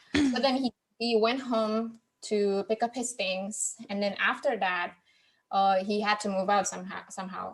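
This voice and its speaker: Over music in the background, a woman speaks at a moderate pace with fairly even intonation. Her voice sits fairly high in pitch. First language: not English. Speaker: podcast host, guest on book podcast. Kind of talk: casual chat. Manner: halting, with many repeated words.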